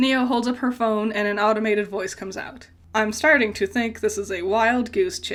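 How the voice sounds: Heard here is a natural reading voice with fairly even intonation.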